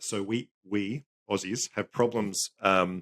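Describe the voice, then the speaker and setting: A man with an Australian accent speaks in a very deep, low voice with fairly even intonation. The sound is dry and close, with no echo. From Queensland, Australia.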